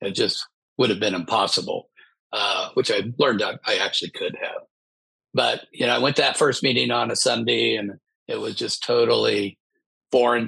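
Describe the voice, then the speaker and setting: With an American accent, a man talks at a moderate pace. He takes long, frequent pauses. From US Midwest. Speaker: business author in recovery. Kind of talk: interview, personal testimony.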